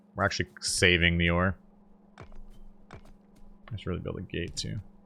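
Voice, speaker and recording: With music in the background, a man speaks in a very deep, low voice with monotone, flat intonation. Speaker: gaming video creator. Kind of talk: gameplay commentary. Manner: casual, conversational.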